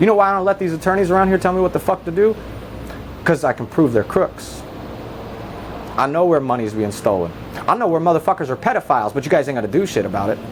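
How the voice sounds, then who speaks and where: Loud and very fast, the speaker with an American accent uses very wide pitch swings and long, frequent pauses, over noticeable background noise. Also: man, high pitch for a man. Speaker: citizen activist filming police encounters. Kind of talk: heated argument. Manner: fast, interrupting.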